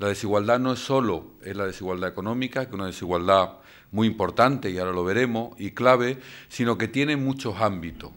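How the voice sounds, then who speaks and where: This is a man speaking. He has an Andalusian accent. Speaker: invited lecturer. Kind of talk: lecture. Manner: hesitant, frequent fillers.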